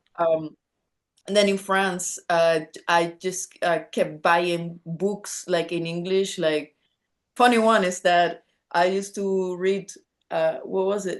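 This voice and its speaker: A woman with a Spanish accent, a fairly low pitch and fairly even intonation. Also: quiet background. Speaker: rock musician. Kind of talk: casual chat. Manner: halting.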